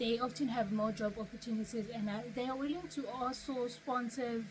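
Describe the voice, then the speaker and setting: With noticeable background noise and audible room echo, a woman talks at a fairly high pitch. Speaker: YouTuber. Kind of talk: tutorial.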